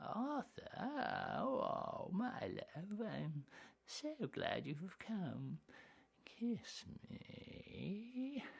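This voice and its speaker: At a very slow pace, a woman talks with a fairly high pitch. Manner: seductive, dreamy.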